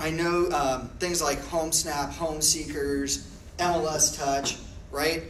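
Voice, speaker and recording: A man speaks at a fairly high pitch in a flat monotone, very slowly and with long, frequent pauses. Noticeable background noise and audible room echo fill the recording. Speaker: real estate technology trainer. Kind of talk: classroom training. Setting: classroom with audience.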